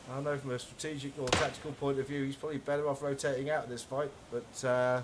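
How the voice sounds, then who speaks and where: A man talks at a very fast pace with fairly even intonation. Noticeable background noise sits behind him. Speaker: esports caster. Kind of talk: live commentary.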